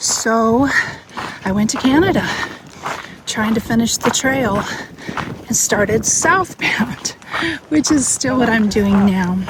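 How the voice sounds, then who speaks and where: Against noticeable background noise, a woman with a fairly high pitch and ordinary pitch variation talks at a fairly slow pace. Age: 60s. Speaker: long-distance hiker vlogger. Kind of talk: casual vlog narration. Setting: outdoors on a hiking trail.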